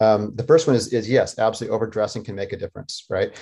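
With an American accent, a man talks in a fairly low pitch with a dark, mellow tone. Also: quiet background. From Colorado, US. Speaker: professor of human physiology. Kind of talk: interview.

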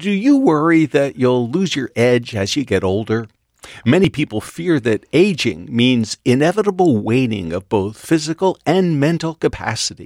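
In a very clean recording with a silent background and a dry, close sound with no echo, a man with a fairly high pitch talks at a moderate pace using very wide pitch swings. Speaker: radio host. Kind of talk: interview.

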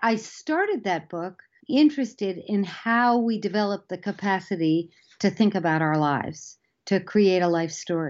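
Here is a woman with an unremarkable speaking voice at medium pitch. She keeps a moderate pace with lively intonation. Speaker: psychology professor. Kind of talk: interview.

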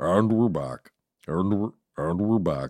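A man puts on a character voice, speaking very deep and low at a fairly slow pace. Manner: exaggerated, comic.

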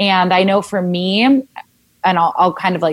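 In an American accent, a woman speaks at a fairly low pitch and a fairly slow pace in a plain, everyday voice. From Southern California. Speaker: wellness blogger and speech pathologist. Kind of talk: casual interview chat. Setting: remote recording during quarantine.

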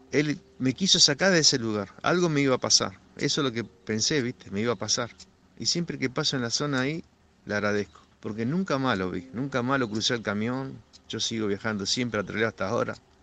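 A man with a Rioplatense accent speaks at a fairly quick pace and medium pitch, his tone bright and sharp and his intonation lively, against a quiet background. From Argentina. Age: 60s. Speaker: truck driver. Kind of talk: personal testimony. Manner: halting, with repetitions.

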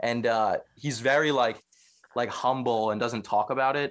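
A man talks in a normal speaking voice at medium speed and medium pitch, his intonation varying as usual, on a very clean recording with a silent background. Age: 20s. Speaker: podcaster. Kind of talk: casual chat.

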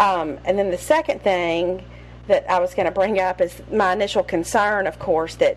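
In a Southern US accent, a woman drawls at a moderate pace with a fairly low pitch.

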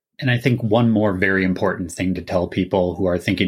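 Speaking at a fairly quick pace with a Minnesotan accent, a man with a very deep, low pitch comes through in a very clean recording over a silent background. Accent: Minnesotan, audible. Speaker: illustrator and graphic designer, podcast guest. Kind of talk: casual chat about video games.

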